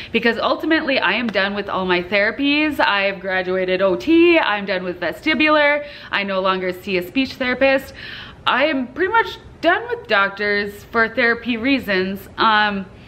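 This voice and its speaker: An ordinary speaking voice, a woman's at fairly high pitch with lively intonation and a moderate pace. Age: 30s. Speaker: vlogger with chronic illness. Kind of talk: casual vlog talk to camera. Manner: casual, with frequent fillers.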